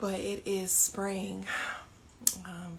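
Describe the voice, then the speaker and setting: A soft-spoken woman at a medium pitch talks very slowly in a flat monotone, with noticeable background noise. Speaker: yoga and meditation teacher. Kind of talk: guided meditation. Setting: home by an open door, live stream.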